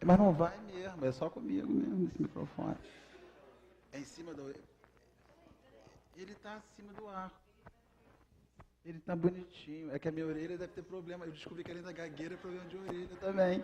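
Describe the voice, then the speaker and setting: A man with a high voice talks using ordinary pitch variation. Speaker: spiritist lecturer. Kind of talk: religious lecture. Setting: spiritist center hall with audience. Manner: halting.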